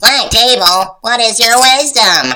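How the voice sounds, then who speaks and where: Using a put-on character voice, a female-sounding speaker with a fairly high pitch talks at a fairly slow pace. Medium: read story.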